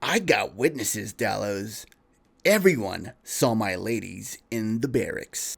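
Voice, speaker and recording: Putting on a nasal character voice, a man speaks fairly slowly at a medium pitch with lively intonation. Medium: read story. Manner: flippant, lazy.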